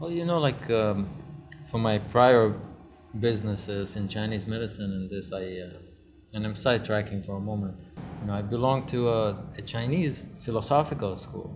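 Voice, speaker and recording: With music in the background and audible room echo, a man speaks at a moderate pace in a fairly low pitch with ordinary pitch variation. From Israel. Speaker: luxury real estate promoter. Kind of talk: casual interview. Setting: in a cinema lounge.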